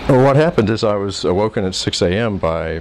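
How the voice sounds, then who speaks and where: The speaker has an American accent, with noticeable background noise behind. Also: man. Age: 60s. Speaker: expatriate businessman. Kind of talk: interview answer.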